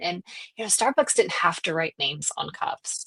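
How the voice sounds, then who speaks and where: Speaking at a fairly quick pace with lively intonation, a woman with a Southern US accent comes through in a dry, close sound with no echo. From US South. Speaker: salon business coach. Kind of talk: casual podcast chat.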